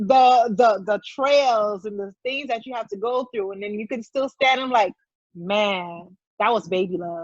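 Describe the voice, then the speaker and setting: Fairly high in pitch, a woman speaks at a fairly slow pace with ordinary pitch variation and big swings in loudness. It is a plain, everyday voice. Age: 30s. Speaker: guest sharing infertility and IVF journey. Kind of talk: casual interview chat.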